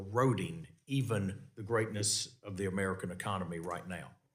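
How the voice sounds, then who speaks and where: Audible room echo surrounds a man speaking with a Southern US accent. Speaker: congressman chairing a committee hearing. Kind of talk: congressional hearing questioning. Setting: committee hearing room. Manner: halting, many fillers and repeats.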